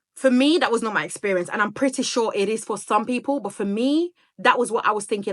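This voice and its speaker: Her pace is very fast. The woman's intonation is lively. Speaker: single mother vlogger. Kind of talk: casual chat. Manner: talkative.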